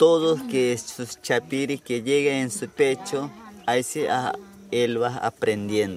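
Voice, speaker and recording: With music playing in the background, a man with an Amazonian accent speaks at a medium pitch and a fairly slow pace. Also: ordinary pitch variation. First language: Yanomami (speaking German). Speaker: village chief. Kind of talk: interview. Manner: halting.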